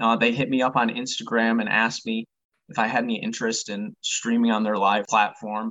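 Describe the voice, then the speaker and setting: In an American accent, a man talks fairly quickly at a medium pitch, his intonation monotone and flat. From Michigan. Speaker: sports card collector and reseller. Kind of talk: casual chat.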